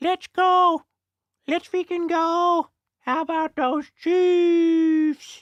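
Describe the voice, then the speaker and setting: In a put-on character voice, the speaker squeaks at an extremely high pitch, very slow and in a monotone, flat intonation. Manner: excited, cheering.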